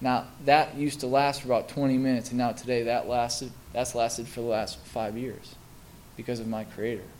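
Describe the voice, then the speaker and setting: Audible room echo surrounds a man talking at a fairly quick pace, his medium pitch held monotone and flat. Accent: American. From US Midwest (Milwaukee, Wisconsin). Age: 20s. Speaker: recovering alcoholic speaker. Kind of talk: testimony. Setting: stage with audience. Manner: halting.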